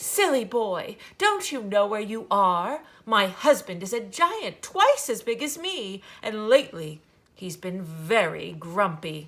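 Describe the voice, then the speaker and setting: A woman's put-on character voice, fairly high in pitch and fairly slow in pace. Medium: read story. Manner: brisk, scolding.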